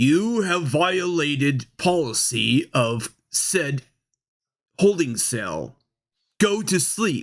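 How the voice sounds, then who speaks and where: A booming put-on character voice at middle pitch moves at a very slow pace in a very clean recording with a silent background. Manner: booming, ominous.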